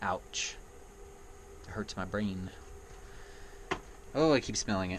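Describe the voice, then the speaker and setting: Fairly low-pitched male speech in a plain, everyday voice, fairly slow in pace, with lively intonation. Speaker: gaming vlogger. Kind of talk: casual vlog monologue. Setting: indoors in an RV.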